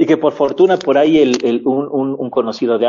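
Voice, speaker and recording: At medium pitch and a moderate pace, a man talks with ordinary pitch variation in an unremarkable speaking voice. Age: 60s. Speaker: university radio host. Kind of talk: interview. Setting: online radio program.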